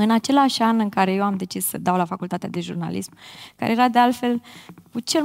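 The woman speaks with ordinary variation in her pitch. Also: quiet background. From Bârlad, Romania; Romania. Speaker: influencer marketing specialist. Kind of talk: panel discussion. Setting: stage with audience. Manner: slightly awkward, shy. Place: stage. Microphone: headset.

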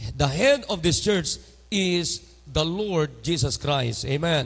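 Vocal fry runs through this man's fairly high-pitched voice. He speaks very slowly, with lively intonation. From Philippines. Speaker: pastor. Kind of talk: sermon. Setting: church. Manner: animated. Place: church. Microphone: handheld.

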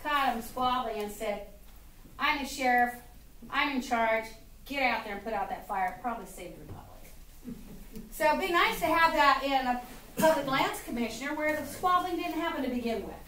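Over light background noise and audible room echo, a woman speaks at a moderate pace in a high pitch, with lively intonation and big swings in loudness. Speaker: speaker. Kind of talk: political speech to audience. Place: stage. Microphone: camera far.

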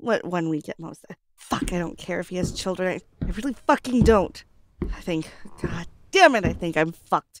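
A gruff, put-on character voice at a moderate pace, with lively intonation, big swings in loudness and long, frequent pauses. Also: woman, medium pitch for a woman. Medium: audio drama. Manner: profane, gruff, sarcastic.

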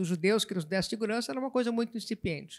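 Recorded very cleanly over a silent background, a woman with a plain, everyday voice speaks at medium pitch with ordinary pitch variation. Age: 60s. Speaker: writer. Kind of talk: literary panel discussion.

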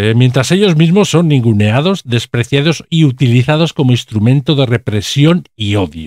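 A man at medium pitch, speaking with hardly any pauses. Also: moderate pace, very even loudness. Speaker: video commentator. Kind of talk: political commentary video, scripted-style monologue. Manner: indignant, sarcastic, politically charged; halting with frequent fillers.

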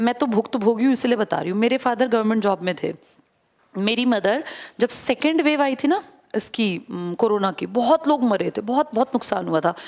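In a quiet background, a woman speaks at a moderate pace with a fairly high pitch and lively intonation. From India. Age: 40s. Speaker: exam coaching teacher. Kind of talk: motivational classroom talk. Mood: earnest, personal, persuasive. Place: classroom. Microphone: headset.

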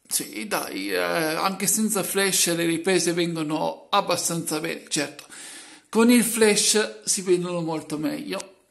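A man talks at a very slow pace in a high voice with lively intonation. There is audible room echo. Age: 30s. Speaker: YouTuber, washing machine hobbyist. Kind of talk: vlog monologue.

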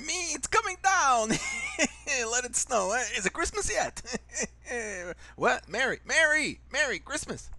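Using a cartoonish character voice at an extremely high pitch, a man speaks at a fairly slow pace over light background noise. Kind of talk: comedy cartoon voiceover.

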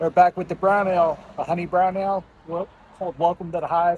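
The speech moves at a moderate pace, dry with no echo, over light background noise. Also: man. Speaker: beer reviewer. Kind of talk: casual vlog chat. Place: bar.

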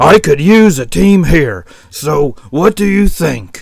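In a put-on character voice, a man talks loud and slow with a fairly high pitch, a rumbling sound, vocal fry and lively intonation.

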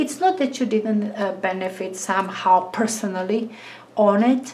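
There is noticeable background noise as a woman with a fairly high pitch talks at a moderate pace, her pitch varying in an ordinary way. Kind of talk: tarot reading monologue. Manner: halting.

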